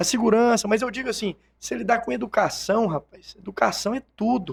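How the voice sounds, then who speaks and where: The speech comes at a fairly quick pace with ordinary pitch variation, in a dry, close sound with no echo. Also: man, high pitch for a man. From Brazil, Itumbiara, Goiás. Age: 30s. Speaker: businessman and politician. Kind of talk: interview. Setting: studio.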